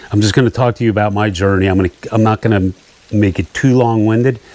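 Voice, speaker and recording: A man with a fairly low voice and ordinary pitch variation speaks over noticeable background noise. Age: 60s. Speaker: fishing YouTuber. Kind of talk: personal testimony vlog. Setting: outdoors at a camp in rain.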